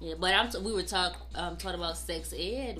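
Echo from the room can be heard. The voice carries an American accent. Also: woman. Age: 20s. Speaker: podcast co-host. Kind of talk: casual chat.

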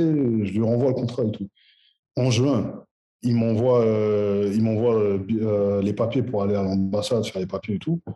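A man's voice sits at a medium pitch, dark and mellow in tone. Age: 30s. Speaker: footballer. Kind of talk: interview. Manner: halting.

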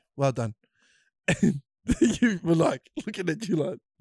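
A man speaks with a New Zealand accent. The sound is dry and close, with no echo. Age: young. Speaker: podcast host. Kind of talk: casual chat.

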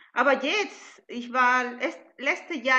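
A woman uses a raised, projected voice. Her pace is fairly slow. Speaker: event participant, alpaca farmer. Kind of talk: Q&A in an online event.

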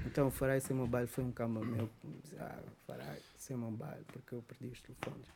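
A man talks at a moderate pace in a medium-pitched, somewhat breathy voice with a dark, mellow tone and ordinary pitch variation. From Angola, Luanda. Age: 40s. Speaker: musician. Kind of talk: casual chat.

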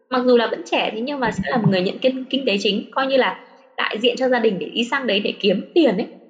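A high-pitched woman at a very fast pace, ordinary pitch variation, noticeable background noise. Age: 30s. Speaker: former study-abroad student in Japan. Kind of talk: casual interview chat. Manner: hesitant, many fillers.

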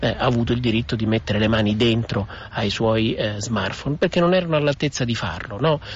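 Over noticeable background noise, a man talks at a very fast pace in a fairly low voice. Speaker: author and digital culture expert. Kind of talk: recorded radio interview. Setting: recorded interview. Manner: articulate, formal.

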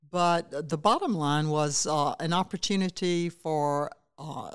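In a South Carolina accent, a woman with a very deep, low pitch speaks with fairly even intonation on a very clean recording with a silent background. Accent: Southern US (South Carolina). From US South, Saluda County, South Carolina. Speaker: state education official, former teacher and legislator. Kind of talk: interview.

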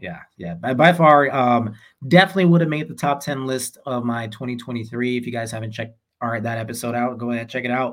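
A normal speaking voice from a man, medium in pitch, at a fairly quick pace with ordinary pitch variation and big swings in loudness. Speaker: podcast co-host. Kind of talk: casual chat.

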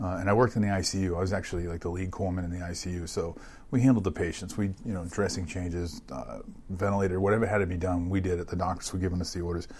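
A man with a very deep, low pitch speaks at a very fast pace and with fairly even intonation, in audible room echo. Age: 50s. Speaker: hospital CEO and Navy veteran. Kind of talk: interview. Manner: hesitant, many fillers.

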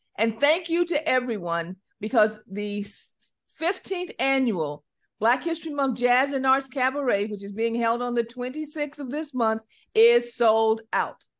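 A woman's high-pitched voice with lively intonation over a quiet background. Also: fairly slow pace. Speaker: financial advisor. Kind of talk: casual radio chat. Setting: studio.

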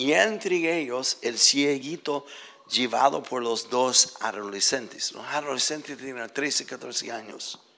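A man's medium-pitched voice at a very slow pace, with big swings in loudness and ordinary pitch variation. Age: 70s. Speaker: visiting preacher. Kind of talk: sermon, preacher in full flow. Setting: church with congregation. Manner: passionate, urgent, exhorting; animated, emotional.

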